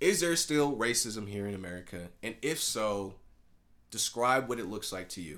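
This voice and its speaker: Lively intonation marks this man's fairly low-pitched voice as he speaks at a moderate pace. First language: Spanish. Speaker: student podcast host. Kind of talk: casual interview conversation.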